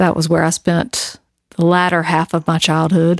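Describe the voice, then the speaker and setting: On a very clean recording with a silent background and a dry, close sound free of echo, a woman with a Southern US accent speaks at a fairly low pitch. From US South (North Carolina). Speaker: podcast co-host. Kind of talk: casual chat.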